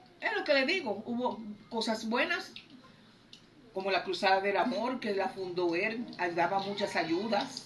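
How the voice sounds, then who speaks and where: Lively intonation comes at a fairly slow pace with long, frequent pauses, amid noticeable background noise and audible room echo. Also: woman, medium pitch for a woman. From Dominican Republic. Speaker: interviewee recalling history. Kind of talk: interview testimony.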